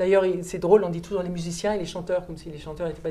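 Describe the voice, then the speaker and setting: Against audible room echo, a woman speaks with a fairly low pitch and a dark, mellow tone. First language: German (speaking French). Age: 50s. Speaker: opera singer and German teacher. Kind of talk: classroom Q&A.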